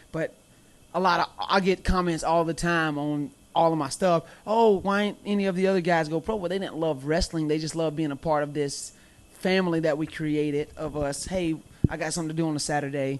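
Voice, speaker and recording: The voice carries a slight Southern US accent and fairly even intonation. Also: man, fairly high pitch for a man. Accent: slight Southern twang. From US South, Mobile, Alabama. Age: 20s. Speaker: professional wrestler. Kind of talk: casual chat. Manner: loud.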